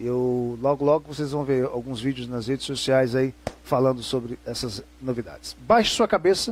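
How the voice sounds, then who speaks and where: The man talks at a medium pitch and a fairly slow pace. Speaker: religious presenter and lecturer. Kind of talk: lecture.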